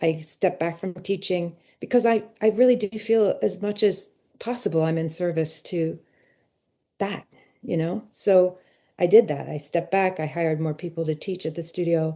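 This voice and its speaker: The woman's pitch is fairly low, and her tone is dark and mellow. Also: ordinary pitch variation, moderate pace. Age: 60s. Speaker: ceramic artist. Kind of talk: interview. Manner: halting.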